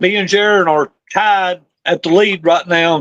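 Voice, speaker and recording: In a Southern US accent, a man speaks at a high pitch with fairly even intonation. The sound is dry and close, with no echo. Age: 60s. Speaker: drag racer. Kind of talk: interview.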